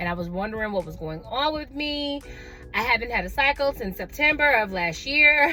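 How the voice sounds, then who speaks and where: With background music, a woman with an American accent speaks at a moderate pace in an animated tone, her high pitch swinging very widely and her loudness shifting greatly. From Atlanta, US South. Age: 30s. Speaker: vlogger. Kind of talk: casual chat.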